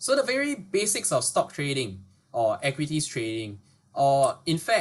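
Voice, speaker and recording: A man talks at a fairly high pitch, slightly breathy. His pitch swings very widely. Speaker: webinar presenter. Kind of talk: educational webinar. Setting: online webinar. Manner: fast.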